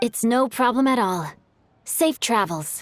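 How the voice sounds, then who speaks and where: A woman speaks in a put-on character voice, pitched high and moving at a fairly slow pace, with very wide pitch swings. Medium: video game. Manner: polite, composed.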